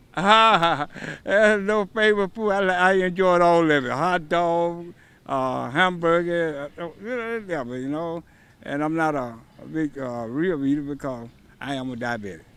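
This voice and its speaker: Speaking with an Alabama accent, a man uses a high voice with a bright, sharp tone. His intonation is lively and his pace is moderate. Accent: Southern US (Alabama). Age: 70s. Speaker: event volunteer. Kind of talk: on-location interview.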